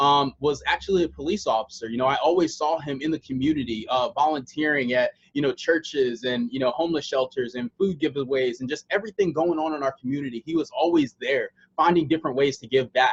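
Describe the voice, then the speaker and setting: A man with an American accent and an unremarkable speaking voice, fairly high in pitch with ordinary pitch variation, at a fairly quick pace, in a dry, close sound with no echo. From USA. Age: 20s. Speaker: online sales presenter. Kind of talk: sales pitch. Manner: casual, with many filler words.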